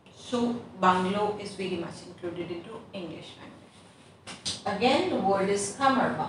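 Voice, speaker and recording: With noticeable background noise and audible room echo, a woman talks at a moderate pace with hardly any pauses. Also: medium pitch for a woman, ordinary pitch variation. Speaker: English teacher. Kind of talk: online lesson. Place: classroom. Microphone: camera far.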